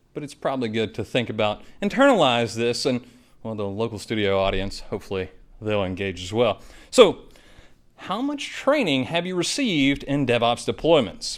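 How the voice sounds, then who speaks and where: Medium-pitched male speech, moderate in pace, with lively intonation. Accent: slight Southern. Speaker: IT trainer and presenter. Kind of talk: presentation. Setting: studio with live audience.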